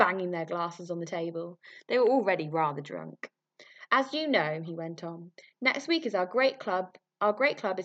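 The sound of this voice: Lively intonation marks an unforced reading voice over a quiet background.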